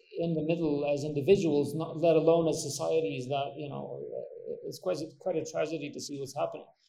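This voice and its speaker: Audible room echo fills the space. A man talks fairly quickly within it. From Kosovo. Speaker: podcast host. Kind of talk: interview.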